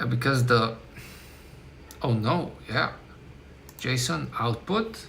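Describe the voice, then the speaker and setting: With a non-native accent and ordinary pitch variation, the speaker goes at a very slow pace with long, frequent pauses, amid noticeable background noise and audible room echo. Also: man, medium pitch for a man. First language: not English. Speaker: software developer streamer. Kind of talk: live coding stream, thinking aloud. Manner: halting, self-correcting.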